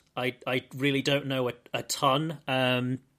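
On a very clean recording with a silent background, a man with a British accent has a bright, sharp tone at a fairly high pitch. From Britain. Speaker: podcast host. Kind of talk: casual chat.

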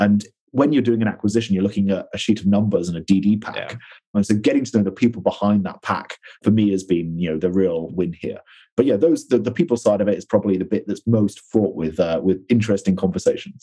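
At a very fast pace, a man speaks with a fairly low pitch, a dark, mellow tone and ordinary pitch variation over a quiet background. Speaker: marketing executive. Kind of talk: interview.

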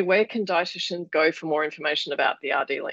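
A woman with an Australian accent speaks with ordinary pitch variation. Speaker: podcast host and founder of a dietitian network. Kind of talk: interview.

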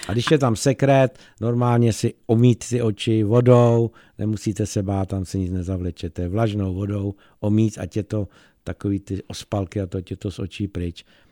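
In a very clean recording with a silent background, a man speaks with a fairly low pitch and a dark, mellow tone. The sound is dry and close with no echo, the pace moderate and the intonation fairly even. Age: middle-aged or older. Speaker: eye doctor. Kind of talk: radio interview.

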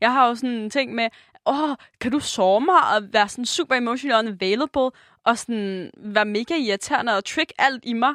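At a moderate pace, a woman speaks in a plain, everyday voice with a fairly high pitch, against a quiet background. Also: ordinary pitch variation. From Jutland, Denmark. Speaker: podcast co-host. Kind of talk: casual chat.

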